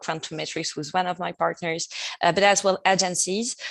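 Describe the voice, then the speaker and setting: A woman's fairly low, monotone voice with flat intonation and a French accent, dry and close with no echo. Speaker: partner success manager. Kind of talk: podcast interview. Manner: hesitant, many fillers.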